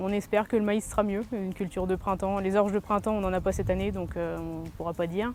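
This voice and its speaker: Her medium-pitched voice carries fairly even intonation as this woman speaks. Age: 30s. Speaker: farmer. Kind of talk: interview. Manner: hesitant, with many fillers.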